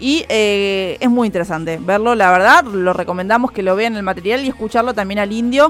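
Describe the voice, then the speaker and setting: A woman in a plain, everyday voice, medium pitch, ordinary pitch variation, fairly quick pace, hardly any pauses. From Argentina. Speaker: radio music show co-host. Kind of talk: casual radio chat about an album.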